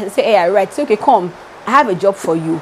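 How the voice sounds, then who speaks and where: A woman's animated tone and lively intonation over noticeable background noise. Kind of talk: devotional teaching.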